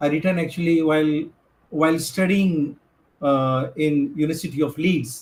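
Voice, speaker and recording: The voice has a non-native accent. Its intonation stays fairly even. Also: man, fairly high pitch for a man, moderate pace. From India, Gujarat (Chhara tribe, Ahmedabad). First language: Bhantu. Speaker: filmmaker and activist. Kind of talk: conference talk. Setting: video call. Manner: halting, many fillers.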